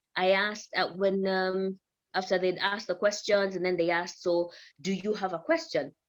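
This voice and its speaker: Speaking at a moderate pace, a woman with an East African accent has a medium pitch. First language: Swahili. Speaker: news presenter. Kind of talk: podcast interview.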